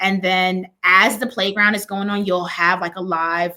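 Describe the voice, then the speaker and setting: A woman's bright, sharp tone at a medium pitch and moderate pace. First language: Spanish. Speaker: education consultant and children's author. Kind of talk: interview.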